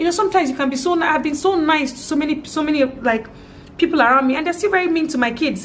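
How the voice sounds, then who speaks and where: Noticeable background noise sits behind a woman with a Nigerian accent. She talks at a very fast pace with lively intonation. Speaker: vlogger, parent. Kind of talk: personal vlog testimony. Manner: halting, repeats words.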